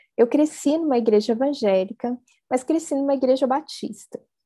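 Her tone is dark and mellow. This woman's pitch varies in an ordinary way. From Brazil, interior of São Paulo state. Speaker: anthropology researcher and professor. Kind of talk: academic talk in a casual video chat.

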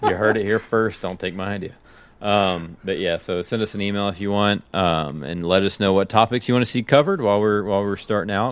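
The speaker uses fairly even intonation in a Tennessee accent. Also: man, fairly low pitch for a man, fairly quick pace. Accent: sounds like he's from Tennessee. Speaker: podcast co-host. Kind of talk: casual chat.

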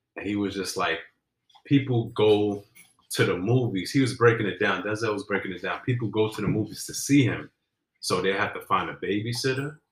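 A man talks at a fairly quick pace. His fairly low voice is somewhat breathy. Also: ordinary pitch variation. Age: 30s. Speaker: podcast co-host. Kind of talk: casual chat.

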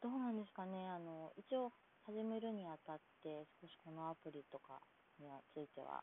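A woman's fairly low-pitched voice with a slight Kansai accent, lively intonation and a moderate pace. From Kansai, Japan. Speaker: podcaster. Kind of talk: casual solo monologue. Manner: polite, formal.

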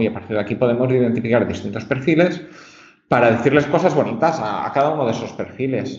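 Noticeable background noise and audible room echo surround a man who speaks fairly quickly. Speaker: marketing research director. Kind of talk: casual chat. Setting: remote call.

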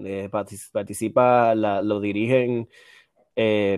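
A man is heard in a dry, close sound with no echo. The recording is very clean, with a silent background. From Puerto Rico, Aguadilla. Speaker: political science doctoral student. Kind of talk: casual chat. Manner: animated.

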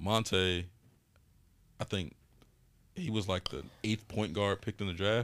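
With a fairly low pitch and ordinary pitch variation, a man talks at a fairly slow pace with long, frequent pauses on a very clean recording with a silent background. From Chicago West Side. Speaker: sports agent. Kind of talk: casual chat.

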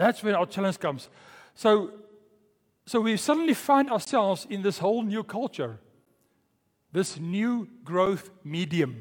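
A high-pitched man's voice with lively intonation and long, frequent pauses. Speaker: pastor. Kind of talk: sermon. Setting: church. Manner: fast talker.

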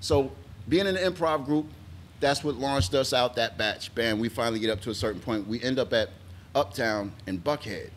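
A man with an American accent, an ordinary speaking voice at a medium pitch, lively intonation and a fairly quick pace. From Atlanta, US South. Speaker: stand-up comedian. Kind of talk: casual interview chat.

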